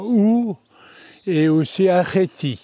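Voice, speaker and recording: A man does the talking. The tone of his voice is dark and mellow. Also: dry, close sound with no echo. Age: 90s. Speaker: former scout, interviewee. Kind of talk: interview, recollections. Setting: abbey, with audience. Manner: halting.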